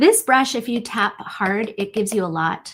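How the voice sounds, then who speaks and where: A woman with a normal speaking voice and a fairly high pitch talks at a fairly slow pace on a very clean recording with a silent background. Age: 50s. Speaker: digital art teacher. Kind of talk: tutorial. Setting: livestream.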